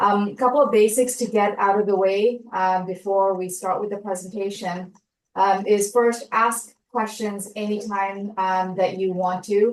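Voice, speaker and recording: At a fairly slow pace with hardly any pauses, a woman uses a normal speaking voice and fairly even intonation. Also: medium pitch for a woman. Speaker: science fair workshop presenter. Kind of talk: online orientation presentation.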